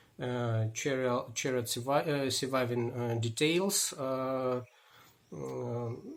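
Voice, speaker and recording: Very slowly, a man speaks with a Russian accent. His medium-pitched voice has ordinary pitch variation. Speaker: historian. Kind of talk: book presentation. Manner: halting.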